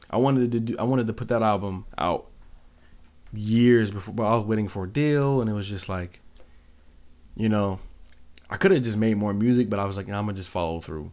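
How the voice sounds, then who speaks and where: Here a man speaks at a fairly quick pace with a fairly low pitch. His pitch variation is ordinary, and he takes long, frequent pauses. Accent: American. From US, Seattle. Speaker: music producer. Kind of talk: casual chat.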